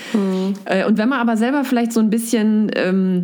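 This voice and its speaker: A woman's medium-pitched voice with ordinary pitch variation, in audible room echo. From central Hesse, Germany. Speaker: biology teacher and blogger. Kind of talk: casual interview. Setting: video call.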